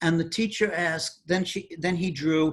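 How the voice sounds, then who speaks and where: A man talks with an American accent. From New York City, the Bronx. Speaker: mathematician. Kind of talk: interview.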